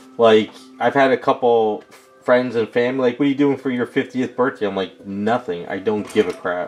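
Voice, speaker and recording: Over music in the background, a man with a medium-pitched voice speaks at a moderate pace with ordinary pitch variation. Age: 40s. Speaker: custom statue sculptor streaming. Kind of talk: casual chat with live stream viewers.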